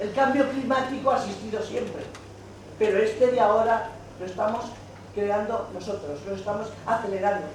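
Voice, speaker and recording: Animated in tone, a woman speaks amid noticeable background noise and audible room echo. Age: 80s+. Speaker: audience member. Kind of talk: public comment at a talk.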